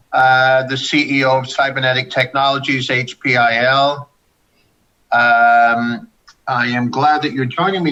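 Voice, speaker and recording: With music in the background, a man of medium pitch speaks at a moderate pace in a monotone, flat intonation. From Canada, Saskatchewan. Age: 60s. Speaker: company CEO. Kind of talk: investor video call. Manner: informal.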